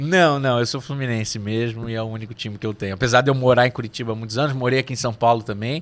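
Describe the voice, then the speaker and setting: Speaking very fast, a man with a medium-pitched voice keeps his intonation fairly even. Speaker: neuromarketing consultant. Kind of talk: podcast interview. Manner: hesitant, many fillers.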